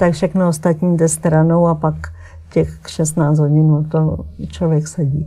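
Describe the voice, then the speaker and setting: At a very slow pace, a woman speaks in a dark, mellow tone with a fairly low pitch. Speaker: textile artist and painter. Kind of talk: interview. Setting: TV studio.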